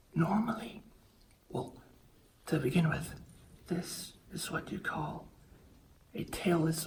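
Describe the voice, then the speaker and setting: Quiet speech comes at a very slow pace. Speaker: wildlife vlogger. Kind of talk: narration and vlog commentary. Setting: in a bat cave; outdoors in Thailand. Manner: quiet, hushed; excited, animated.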